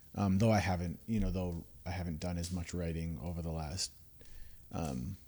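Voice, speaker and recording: At a moderate pace, a man talks in a very deep, low voice with fairly even intonation. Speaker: worship leader and church music director. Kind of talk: casual chat. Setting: podcast interview. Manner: casual, laid-back, many fillers.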